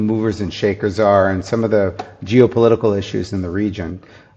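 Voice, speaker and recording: With an American accent, this man has an unremarkable speaking voice, a fairly low pitch and fairly even intonation. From US, New Jersey. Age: 50s. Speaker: food company founder. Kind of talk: podcast interview.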